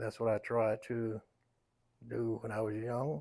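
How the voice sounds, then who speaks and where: In a North Carolina accent, a man speaks with monotone, flat intonation on a very clean recording with a silent background. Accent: Southern US, North Carolina. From US South, Raleigh, North Carolina. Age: 90s. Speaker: elder interviewee. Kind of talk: life story interview.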